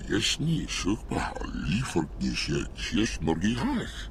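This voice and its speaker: Against clear background noise, a man uses a put-on character voice, very deep and low in pitch, at a fairly slow pace. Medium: video game.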